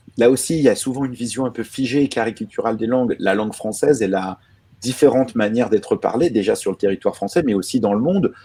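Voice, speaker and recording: Very fast in pace, a man with a dark, mellow tone speaks at a medium pitch with ordinary pitch variation on a very clean recording with a silent background. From France. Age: 30s. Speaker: journalist. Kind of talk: panel conversation. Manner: hesitant, many fillers.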